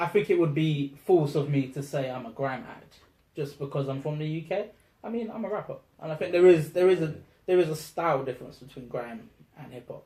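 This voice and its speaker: With a South London accent, a man talks at a fairly quick pace, his fairly high voice dark and mellow in tone, with ordinary pitch variation. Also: big swings in loudness. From South London, England. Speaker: rapper. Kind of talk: interview. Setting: in person, London.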